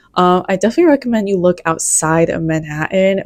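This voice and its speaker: With an American accent, a woman speaks at a moderate pace in a fairly low voice over noticeable background noise. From US South (Atlanta, Georgia). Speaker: lifestyle vlogger. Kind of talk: casual vlog talk to camera. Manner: animated.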